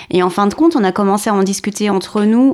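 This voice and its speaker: At a fairly quick pace, a woman with a medium pitch and an unremarkable speaking voice comes through on a very clean recording with a silent background. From Paris region, southern suburbs. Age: 40s. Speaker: former citizen assembly member. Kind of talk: interview testimony.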